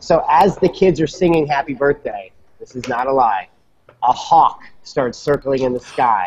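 This man's voice is fairly high, with lively intonation and a moderate pace. His loudness swings widely, and light background noise can be heard. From US Midwest, St. Louis; US Midwest. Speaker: magician, former kids' party entertainer; guest. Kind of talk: panel discussion. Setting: video call from a coffee shop. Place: home room. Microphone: video call.

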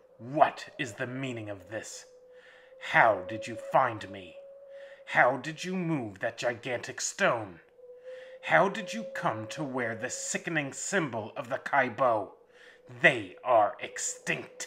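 Using a put-on character voice, a man growls in a guttural, menacing tone. His pitch is medium and his pace fairly slow. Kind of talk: horror audiobook villain. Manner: sneering, menacing, then stunned.

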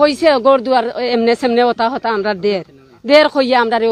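This woman has a fairly high pitch, ordinary pitch variation, and a normal speaking voice. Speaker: protester at human chain. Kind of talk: testimony.

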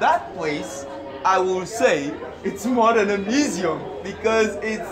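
A man at a fairly slow pace with clear music in the background. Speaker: vlogger. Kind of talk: casual vlog chat. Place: market.

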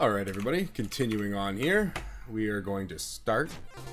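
The clip is plain reading aloud.

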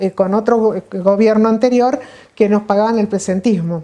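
The tone is dark and mellow, with ordinary pitch variation. The background is quiet. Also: woman. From Buenos Aires province, Argentina. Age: 60s. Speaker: retired physician. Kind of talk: oral history interview. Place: home room.

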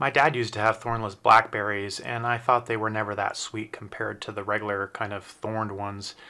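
A man speaks at a fairly low pitch with a bright, sharp tone. His pace is moderate and his intonation monotone and flat. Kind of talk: casual garden tour narration. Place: garden. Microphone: phone near.

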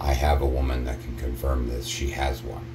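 Light background noise runs under a man's voice. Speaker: vlogger. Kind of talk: casual vlog chat. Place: bathroom. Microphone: phone near.

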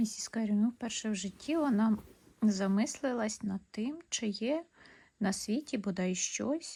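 The text comes across as reading aloud in a natural voice.

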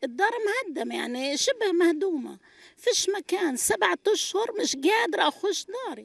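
The voice moves through very wide pitch swings at a fairly slow pace. The sound is dry, with no echo. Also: woman. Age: 60s. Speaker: displaced person, retired UN agency teacher; retired UN agency teacher. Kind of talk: street interview testimony. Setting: outdoors at night in displacement camp. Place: tent. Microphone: handheld.

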